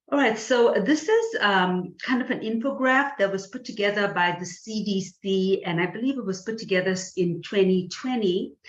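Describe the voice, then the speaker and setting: With a slight Indian accent, a woman speaks at medium pitch and a moderate pace, with ordinary pitch variation and hardly any pauses. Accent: slight South Asian (Indian). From South Asia (India). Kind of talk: webinar presentation. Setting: online webinar. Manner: hesitant, many fillers.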